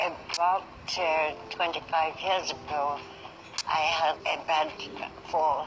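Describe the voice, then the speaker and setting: Against noticeable background noise, a woman speaks very slowly at a very deep, low pitch, her intonation monotone and flat, her loudness very even, with long, frequent pauses. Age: 80s+. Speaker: yoga instructor. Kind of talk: interview answer. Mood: upbeat, determined.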